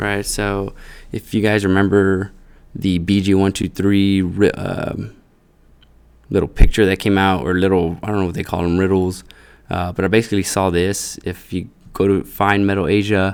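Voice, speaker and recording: A man talks at a moderate pace with a fairly low pitch. His intonation is monotone and flat. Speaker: crypto YouTuber. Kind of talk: solo screen-share commentary. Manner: halting, many fillers.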